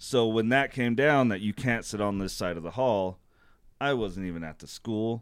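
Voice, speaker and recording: A man with an American accent speaks in a normal speaking voice. His pitch is fairly low with ordinary variation, in a very clean recording with a silent background. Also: moderate pace. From Utah, US. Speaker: landscaping business owner, army veteran. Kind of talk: casual chat.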